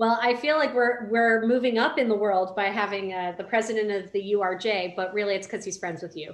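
In a plain, everyday voice, the speaker goes at a fairly quick pace with hardly any pauses and ordinary pitch variation. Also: woman, medium pitch for a woman. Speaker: rabbi and podcast co-host. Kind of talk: casual conversational podcast.

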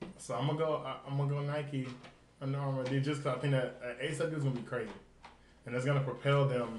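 This man talks at a very fast pace in a fairly high pitch with an American accent, his fairly even intonation broken by long, frequent pauses, over noticeable background noise and audible room echo. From US South, Nashville, Tennessee. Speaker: podcast host. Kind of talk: casual chat.

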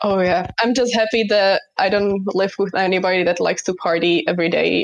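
Noticeable background noise surrounds a woman at medium pitch. She speaks at a fairly quick pace with fairly even intonation. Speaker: university student. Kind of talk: casual chat.

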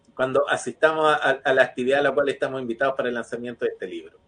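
With lively intonation, a man speaks at a fairly high pitch in an unremarkable speaking voice. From Chile, another region. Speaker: TV show host. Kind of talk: casual chat.

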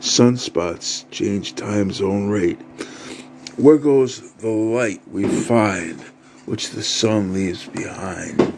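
A man's fairly low, solemn voice at a very slow pace with ordinary pitch variation, amid noticeable background noise. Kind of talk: performed poetry. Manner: rhythmic, rhyme-driven; grandiose, solemn, incantatory.

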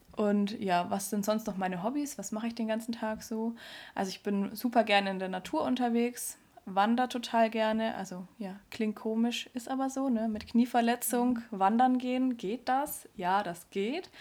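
Here a woman with a plain, everyday voice speaks at a moderate pace, pitched fairly high with fairly even intonation. The recording is very clean and the background silent. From Neumarkt, Upper Palatinate, Bavaria. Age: 20s. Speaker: podcast co-host, trainee dog physiotherapist. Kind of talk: casual chat.

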